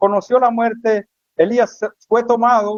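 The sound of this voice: Over a quiet background, the voice reads in an unforced way.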